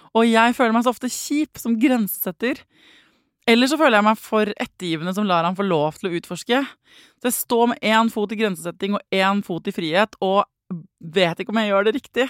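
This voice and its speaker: In a very clean recording with a silent background and a dry, close sound with no echo, a woman talks at a fairly quick pace with ordinary pitch variation. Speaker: parenting podcast host. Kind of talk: casual interview.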